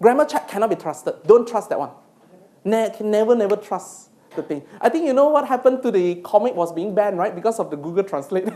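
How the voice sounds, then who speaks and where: With a Malaysian accent, a woman talks at a very fast pace in a medium pitch with lively intonation. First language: not English. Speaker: university lecturer and PhD supervisor. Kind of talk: lecture. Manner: halting.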